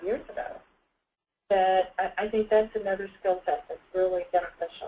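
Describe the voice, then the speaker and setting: This woman has a plain, everyday voice, pitched at a medium level, moving at a moderate pace with ordinary pitch variation. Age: 60s. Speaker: nurse and Lean Six Sigma student. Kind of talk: webinar panel discussion. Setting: webinar call.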